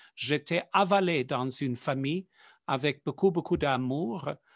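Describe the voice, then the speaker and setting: Against a quiet background, a man with a non-native accent speaks with ordinary pitch variation in a dry, close sound with no echo. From South Africa. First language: not French (speaking French). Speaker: Jesuit priest. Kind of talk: interview. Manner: halting, with many fillers.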